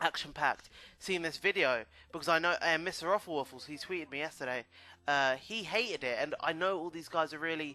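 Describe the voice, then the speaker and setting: The voice has a bright, sharp tone. The background is quiet. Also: man, fairly high pitch for a man, ordinary pitch variation. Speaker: gaming YouTuber. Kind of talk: video game commentary. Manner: hesitant, many fillers.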